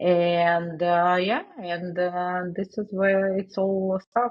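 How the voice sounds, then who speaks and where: A woman speaks with a Russian accent at a medium pitch and in a flat monotone. Her pace is very slow. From Russia, Saint Petersburg. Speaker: digital marketing agency owner. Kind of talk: interview. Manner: halting, many fillers.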